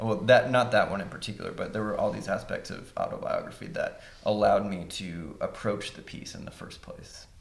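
The man has an American accent and speaks at a moderate pace. There is audible room echo. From West Virginia, Huntington. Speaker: composer. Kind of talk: panel discussion.

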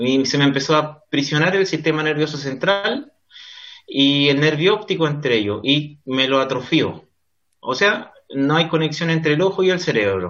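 At a moderate pace, a man speaks at a fairly high pitch with lively intonation and very even loudness. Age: 30s. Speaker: lawyer. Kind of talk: interview. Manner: halting.

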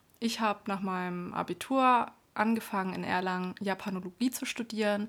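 Fairly even in intonation, a woman with an unremarkable speaking voice and medium pitch comes through in a very clean recording with a silent background. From Baden-Württemberg, Germany. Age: 30s. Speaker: podcast co-host, self-employed entrepreneur. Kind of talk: casual chat.

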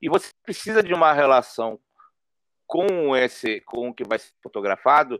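A man's ordinary speaking voice, fairly high in pitch, at a moderate pace in a dry, close sound with no echo. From São Paulo, North Zone, Brazil. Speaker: photojournalist and street artist. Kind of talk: interview conversation.

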